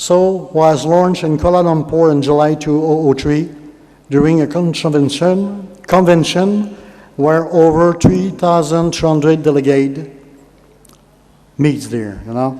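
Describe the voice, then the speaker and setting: A man with a French Canadian accent speaks at a fairly slow pace, with a fairly high pitch and ordinary pitch variation. The recording has audible room echo and noticeable background noise. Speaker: conference speaker. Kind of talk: speech to an audience. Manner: halting.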